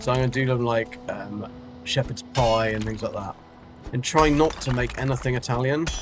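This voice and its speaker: A man speaks at a moderate pace with a medium pitch and ordinary pitch variation while music plays in the background. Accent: strong British. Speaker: game streamer. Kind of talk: casual chat. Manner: hesitant, filler-heavy.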